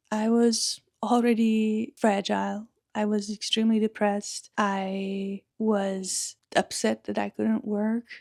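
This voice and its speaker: A woman with a strong Czech accent, fairly high pitch, very slow pace and monotone, flat intonation, in a very clean, dry, close recording with a silent background and no echo. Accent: Czech English accent, thick. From Czech Republic. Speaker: podcaster. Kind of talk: personal storytelling monologue.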